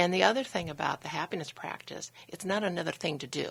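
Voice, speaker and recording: A woman with an ordinary speaking voice, fairly low in pitch, fairly quick and with lively intonation. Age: 60s. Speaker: happiness coach, company founder. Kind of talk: radio interview.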